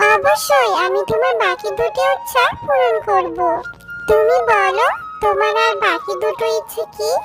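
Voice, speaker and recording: A cartoonish character voice moves at a fairly slow pace. Loud background noise runs underneath. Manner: calm, benevolent.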